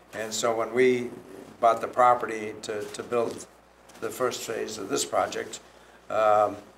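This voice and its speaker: Audible room echo fills the recording. The speaker is a man. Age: 80s+. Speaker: property developer. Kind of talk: public meeting comment. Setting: town planning commission meeting.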